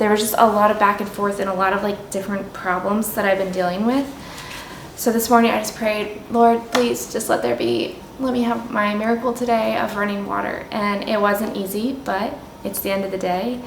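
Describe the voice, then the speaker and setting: Amid noticeable background noise and audible room echo, a woman speaks at a fairly quick pace in a medium pitch with ordinary pitch variation. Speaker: home renovation vlogger. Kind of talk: casual vlog narration.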